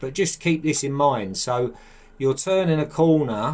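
This man talks at a moderate pace with ordinary pitch variation.

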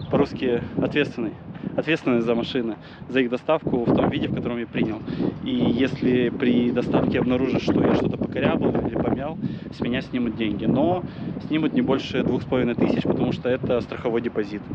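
Over loud background noise, a man talks at a fairly quick pace, the sound dry with no echo. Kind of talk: casual vlog chat. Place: street. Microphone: phone near.

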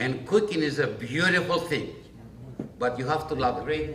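In a room with audible echo and light background noise, a man speaks at a moderate pace, his fairly high pitch carrying lively intonation. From Greece. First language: Greek. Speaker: chef; panelist. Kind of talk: panel presentation. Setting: restaurant event with audience. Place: hall.

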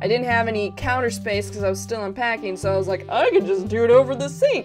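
With clear music in the background, a woman talks at a very fast pace. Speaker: vlogger. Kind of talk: casual vlog chat. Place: home room. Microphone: webcam.

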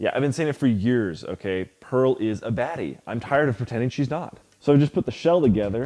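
A man talks at a fairly quick pace. He leaves hardly any pauses. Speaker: maker YouTuber. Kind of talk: casual humorous build vlog. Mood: joking, playful. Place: garage.

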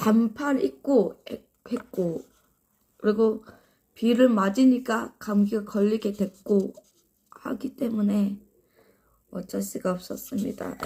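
A woman with a fairly high, somewhat breathy voice and a dark, mellow tone speaks at a very slow pace. Her pitch varies in an ordinary way, broken by long, frequent pauses. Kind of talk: casual live stream talk to viewers.

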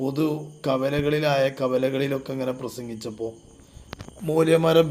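A man with a Malabar accent and lively intonation. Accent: Malabar Malayalam. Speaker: religious YouTuber. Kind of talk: polemical commentary. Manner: animated.

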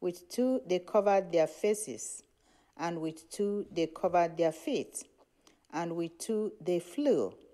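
A woman's fairly low pitch and lively intonation at a very slow pace, against a quiet background. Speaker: lay reader. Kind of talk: scripture reading and reading prayer names. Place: church.

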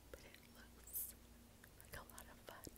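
A woman is talking. Her pace is very slow. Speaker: ASMR creator. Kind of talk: ASMR show and tell. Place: home room. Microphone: phone near.

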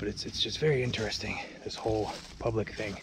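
A man talks at a fairly quick pace with a fairly low pitch. The sound is dry with no echo, though background noise is noticeable. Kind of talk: casual vlog chat. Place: forest. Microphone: phone near.

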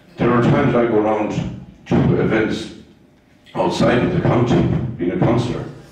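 Strong room echo surrounds the voice. The pace is moderate. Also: man. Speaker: local councillor giving opening remarks. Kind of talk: public speech. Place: hall.

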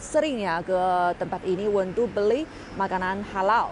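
A woman's voice comes through dry with no echo, with light background noise behind it. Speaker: travel vlogger. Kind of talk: casual vlog chat. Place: street. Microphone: earbuds.

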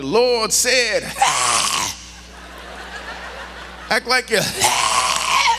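A man's put-on character voice, guttural and extremely high, shouted at a very slow pace over loud background noise. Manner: preaching, ending sentences with a throat clearing.

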